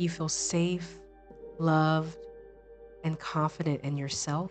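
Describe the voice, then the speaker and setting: Over music in the background, a woman speaks in a calm, soothing tone with a very deep, low pitch and monotone, flat intonation. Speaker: meditation guide, life coach, yoga instructor. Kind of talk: guided meditation. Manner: slow, calm, soothing.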